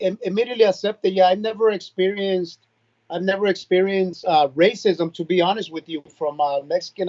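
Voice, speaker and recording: With a Spanish accent, a man talks at a fairly quick pace in a high voice, keeping his intonation fairly even. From Nicaragua, then San Jose, California. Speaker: reggaeton artist. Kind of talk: casual interview chat.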